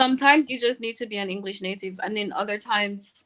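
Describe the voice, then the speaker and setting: The voice has a bright, sharp tone and fairly even intonation, moving at a fairly quick pace. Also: woman. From Jamaica (Kingston). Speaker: English and French teacher. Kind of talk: interview over live stream.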